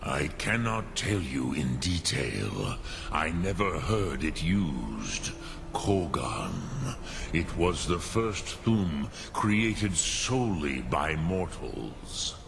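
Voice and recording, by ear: Over clear background noise, a man does a put-on character voice at a very slow pace with few pauses, his pitch extremely low with vocal fry and big pitch swings.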